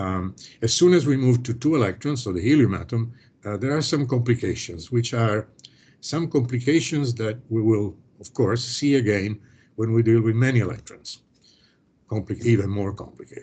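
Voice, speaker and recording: A man speaks at a medium pitch with a somewhat breathy, dark and mellow tone, ordinary pitch variation and big swings in loudness against a quiet background. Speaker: professor. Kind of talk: lecture. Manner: fast; hesitant, many fillers.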